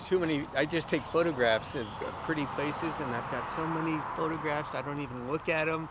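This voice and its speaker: A man speaks at a fairly quick pace with a fairly high pitch. His intonation is fairly even, and noticeable background noise sits behind him. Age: 60s. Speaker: local history author. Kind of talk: casual chat. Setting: outdoors.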